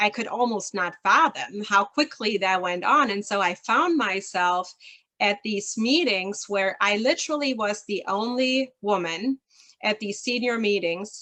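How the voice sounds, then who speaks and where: A woman with a German accent speaks at a fairly slow pace and a medium pitch. Her tone is bright and sharp, her intonation lively. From rural southern Germany near Switzerland. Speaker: leadership consultant. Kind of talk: interview.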